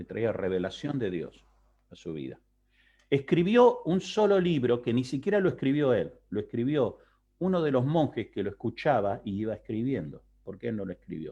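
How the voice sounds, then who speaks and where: Against a quiet background, a man talks at a moderate pace with a medium pitch and a dark, mellow tone. His pitch swings very widely. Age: middle-aged. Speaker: pastor. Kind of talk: Bible class lecture. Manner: conversational, checks understanding.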